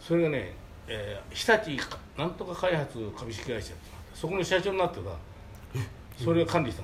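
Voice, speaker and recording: A man with a fairly high pitch talks at a moderate pace, his pitch swinging very widely. Audible room echo and noticeable background noise fill the recording. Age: 80s+. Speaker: manga artist's office manager. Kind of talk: storytelling. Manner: halting.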